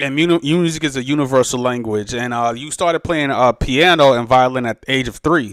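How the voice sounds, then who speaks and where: A man with a New York accent speaks at a medium pitch and a fairly quick pace, with hardly any pauses and ordinary pitch variation. The sound is dry and close with no echo. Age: 30s. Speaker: podcast host and DJ. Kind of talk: interview podcast. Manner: halting, many fillers.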